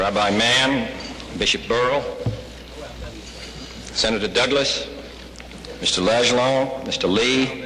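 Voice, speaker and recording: Speaking very slowly with long, frequent pauses, a man holds a medium pitch and fairly even intonation at very even loudness. Noticeable background noise sits behind him. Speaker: president of the United States. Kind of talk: after-lunch civic address. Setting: hotel ballroom.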